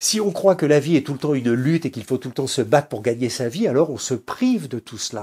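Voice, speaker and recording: The voice has a dark, mellow tone and is somewhat breathy. Its pitch swings very widely. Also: man. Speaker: spiritual teacher. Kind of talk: lecture. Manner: halting.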